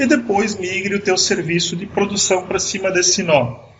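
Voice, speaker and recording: Speech moves at a moderate pace with ordinary pitch variation. Audible room echo surrounds it. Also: man. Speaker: IT manager giving a tech talk. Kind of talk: online conference talk. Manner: halting, with many restarts.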